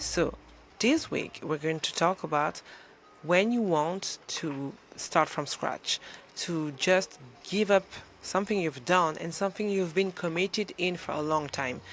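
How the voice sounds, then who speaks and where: Fairly slow delivery with a French accent. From France. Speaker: motivational coach. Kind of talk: motivational talk to camera. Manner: animated; halting.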